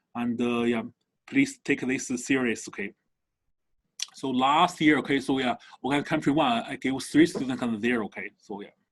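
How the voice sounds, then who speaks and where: A man with a non-native accent and medium pitch talks at a moderate pace with ordinary pitch variation and long, frequent pauses. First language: not English. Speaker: university chemistry professor. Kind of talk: lecture. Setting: online video class. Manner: halting, many fillers.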